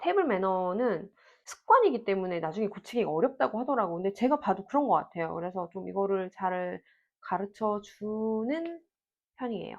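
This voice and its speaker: Her pitch rises and falls across a very wide range as the woman talks at a moderate speed. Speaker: parenting vlogger. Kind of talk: Q&A monologue. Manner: conversational.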